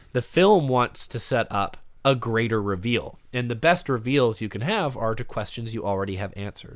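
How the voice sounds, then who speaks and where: In a normal speaking voice with ordinary pitch variation, the speaker talks at a moderate pace on a very clean recording with a silent background. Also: man. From Canada. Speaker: podcaster, film discussion guest. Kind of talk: casual chat.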